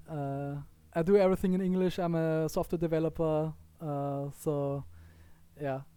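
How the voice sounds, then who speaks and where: The speaker talks with a strong Austrian accent, breaking up the words with long, frequent pauses. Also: moderate pace. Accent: heavy Austrian German. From Austria, Vienna. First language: German. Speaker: gaming YouTuber. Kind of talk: gameplay commentary. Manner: quiet, low volume; hesitant, with fillers. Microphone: poor audio quality, low volume.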